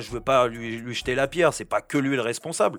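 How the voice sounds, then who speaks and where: The recording is very clean, and the background is silent. A man talks at a medium pitch. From Paris, France. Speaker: former footballer and radio pundit. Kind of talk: casual chat. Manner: halting, many fillers and repetitions.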